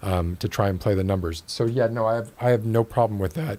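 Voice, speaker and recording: In an American accent, a man talks fairly quickly at a fairly low pitch. His is a normal speaking voice with ordinary pitch variation. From Miami, Florida. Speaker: podcast host. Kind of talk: casual chat.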